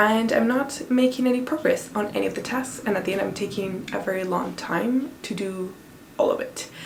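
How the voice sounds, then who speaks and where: A woman talks at a moderate speed, with audible echo from the room and noticeable noise around her. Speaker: PhD student and lifestyle vlogger. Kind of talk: casual vlog talk to camera.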